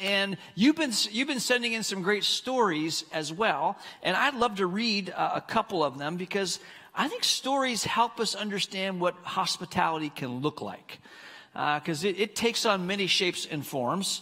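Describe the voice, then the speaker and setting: Over a quiet background, a man speaks in a raised, projected voice at a moderate pace. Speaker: pastor. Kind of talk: sermon. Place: stage. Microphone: headset.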